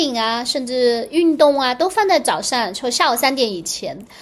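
The speaker is a woman with a high pitch. She uses lively intonation. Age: 40s. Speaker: astrologer and podcast host. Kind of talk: casual solo podcast monologue.

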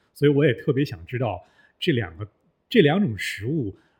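The man's somewhat breathy voice carries lively intonation. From Northeast China. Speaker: former journalist, voice worker. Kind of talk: casual chat. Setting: studio.

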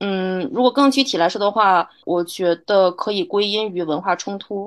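Against a quiet background, a woman uses an ordinary speaking voice at medium pitch, speaking at a moderate pace with lively intonation. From China. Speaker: journalist. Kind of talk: interview conversation.

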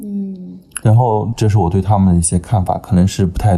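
This man's somewhat breathy voice has a dark, mellow tone and a fairly low pitch, at a moderate pace. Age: 20s. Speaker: podcast guest. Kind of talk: casual chat.

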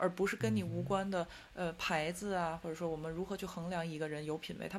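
Speaking at a very fast pace, a woman with a fairly low pitch and vocal fry shows ordinary pitch variation. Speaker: podcast co-host living in Paris. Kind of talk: casual chat.

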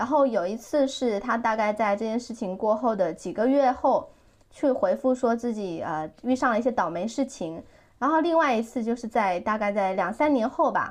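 A woman with an ordinary speaking voice talks at a fairly high pitch. Her intonation is lively and her pace moderate. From southern Fujian, China. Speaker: podcast host, former lifestyle blogger. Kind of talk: casual chat.

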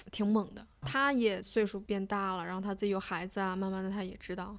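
Using an ordinary speaking voice, a woman at medium pitch talks at a fairly quick pace. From Beijing, China. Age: 20s. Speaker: former national team diver. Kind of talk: casual chat.

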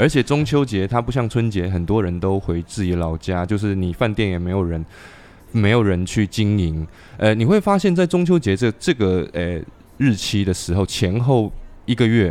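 Using lively intonation, a man speaks at a moderate pace with a fairly low pitch. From Xiamen, southern Fujian. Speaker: podcast host. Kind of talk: casual chat. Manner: animated.

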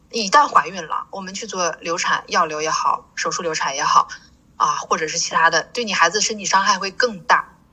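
Noticeable background noise is present. The talking goes at a fairly quick pace. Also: woman. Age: 40s. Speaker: pharmacist. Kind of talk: interview.

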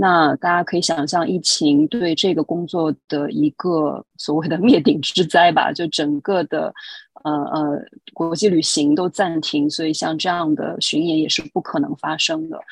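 At a fairly slow pace, a woman with a fairly low pitch speaks with fairly even intonation in a dry, close sound with no echo. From China, Shanghai. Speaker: international performing arts curator. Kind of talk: interview conversation. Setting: remote call from New York. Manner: hesitant, many filler sounds.

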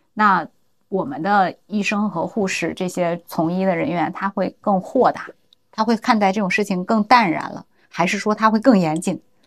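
Using a normal speaking voice, a woman speaks at a moderate pace with a medium pitch and ordinary pitch variation. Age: middle-aged. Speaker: podcast co-host. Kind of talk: casual chat.

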